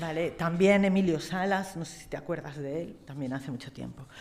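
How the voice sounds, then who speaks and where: Her pitch sits fairly low for a woman. The woman talks at a moderate pace. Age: 60s. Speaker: astrologer. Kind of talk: tribute speech; reading aloud. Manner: halting.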